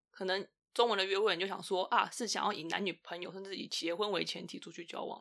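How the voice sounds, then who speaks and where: A woman's medium-pitched voice, bright and sharp, very fast, with fairly even intonation and big swings in loudness. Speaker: podcast guest sharing dating experience. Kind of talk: casual chat.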